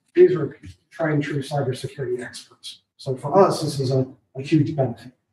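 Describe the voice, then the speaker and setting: A quiet, somewhat breathy man at a fairly high pitch, dark and mellow in tone, with big swings in loudness, fairly even intonation and a fairly quick pace. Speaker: IT services provider. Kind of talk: public meeting presentation. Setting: county board meeting room.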